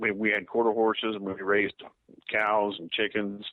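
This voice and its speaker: Delivered in an American accent, the speech keeps a moderate pace and a monotone, flat intonation. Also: man. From Texas. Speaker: activist. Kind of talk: interview.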